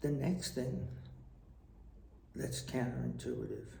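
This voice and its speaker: Vocal fry runs through a man's fairly low, dark, mellow voice. His pitch swings very widely, and room echo is audible. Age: 60s. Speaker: retired tax official and storyteller. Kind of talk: personal vlog monologue. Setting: traveling abroad.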